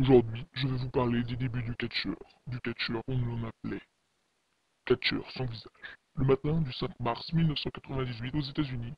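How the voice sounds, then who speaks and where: A man puts on a character voice at medium pitch. He keeps a moderate pace with long, frequent pauses. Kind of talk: horror narration. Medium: read story. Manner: ominous, dramatic.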